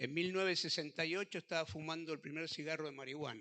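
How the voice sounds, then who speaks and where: This man speaks with a fairly high pitch, a bright, sharp tone and ordinary pitch variation. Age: 60s. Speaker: pastor. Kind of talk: testimony.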